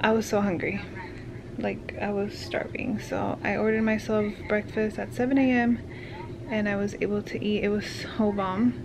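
The speaker is a woman with ordinary pitch variation. Noticeable background noise can be heard. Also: moderate pace. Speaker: new mother vlogger. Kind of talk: casual vlog chat. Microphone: phone near.

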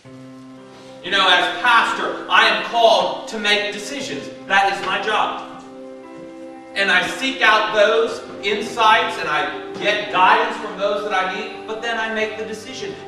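A man with a high pitch uses a raised, projected voice at a fairly slow pace, with ordinary pitch variation. Clear music plays in the background, and room echo is audible. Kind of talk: sermon. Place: church.

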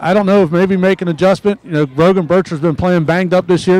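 In a dry sound with no echo, a man talks at a very fast pace with a high pitch and fairly even intonation. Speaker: sideline reporter. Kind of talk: live sideline report.

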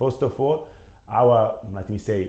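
A man with a dark, mellow tone speaks somewhat breathily, with ordinary pitch variation. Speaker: product manager. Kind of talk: webinar presentation. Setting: online webinar. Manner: halting, many fillers.

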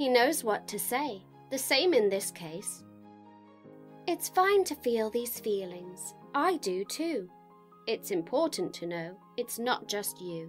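Someone speaks at a very slow pace in a British accent, with a warm, gentle tone and very wide pitch swings, as music plays in the background. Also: woman, fairly high pitch for a woman. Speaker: voice over artist and actress. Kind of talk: children's picture book reading, CBeebies style. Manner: warm, gentle, storytelling.

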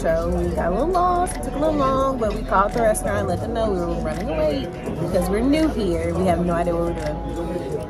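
Over loud background music, a woman talks at a very fast pace. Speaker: travel vlogger. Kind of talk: casual vlog chat. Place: cafe. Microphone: phone near.

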